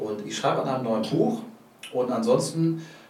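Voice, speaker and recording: There is audible room echo and noticeable background noise as a man with a medium pitch talks at a fairly quick pace. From Hamburg. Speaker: comedian. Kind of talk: casual interview.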